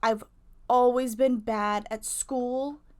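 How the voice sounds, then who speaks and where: A woman's high voice with ordinary pitch variation, on a very clean recording with a silent background. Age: 20s. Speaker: YouTuber, waitress. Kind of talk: casual vlog advice talk. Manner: casual, filler-heavy.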